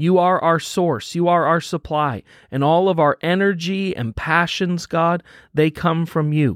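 A man speaks in a high pitch with fairly even intonation and a warm, gentle tone. The recording is very clean with a silent background and a dry, close sound with no echo. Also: fairly slow pace. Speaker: pastor. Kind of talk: guided devotional prayer with scripture reading, fervent prayer. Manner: earnest, warm, fervent and intimate in prayer; gentle, encouraging, conversational with some fillers.

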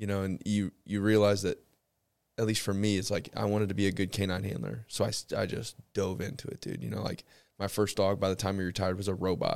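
In a very clean recording with a silent background, a man talks at a very fast pace with an American accent. His pitch is fairly low, with ordinary variation. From St. Louis, Missouri. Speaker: podcast host and police officer. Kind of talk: casual interview conversation. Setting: studio with podcast mics.

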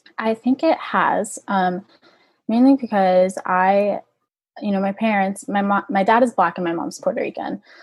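Speaking in an American accent at a moderate pace, a woman sounds somewhat breathy, with ordinary pitch variation. The recording is very clean over a silent background. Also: medium pitch for a woman. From Orlando, Florida. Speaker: college rower. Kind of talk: interview.

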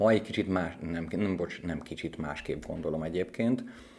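This man's voice sits very deep and low, with a dark, mellow tone. His intonation is lively. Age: 40s. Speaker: educator living with HIV, former IT worker. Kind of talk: interview. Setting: studio. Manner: halting.

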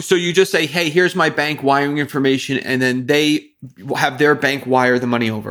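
A man's fairly high-pitched voice at a fairly quick pace, with ordinary pitch variation. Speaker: podcast host. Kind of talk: interview. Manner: animated; excitable.

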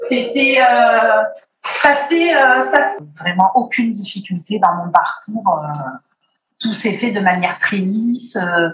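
This woman has an ordinary speaking voice at a medium pitch. She talks at a fairly slow pace with lively intonation. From Martinique. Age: 40s. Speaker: IVF patient. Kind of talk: testimony.

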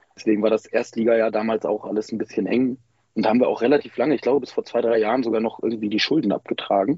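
The speaker has a normal speaking voice. The intonation is fairly even. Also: man. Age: 20s. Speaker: handball fan group member. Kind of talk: interview.

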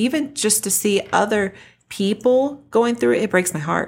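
In a very clean recording with a silent background, a woman speaks at a moderate pace in an ordinary speaking voice with lively intonation. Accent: American. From Texas, Denton. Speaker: podcast co-host, parent. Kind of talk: casual chat.

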